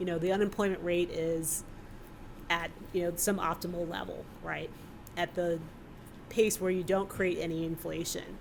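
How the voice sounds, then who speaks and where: The speaker has an American accent and a moderate pace with long, frequent pauses. The intonation stays monotone and flat. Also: woman, fairly low pitch for a woman. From New York City, Brooklyn. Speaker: economist. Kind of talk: panel discussion answer.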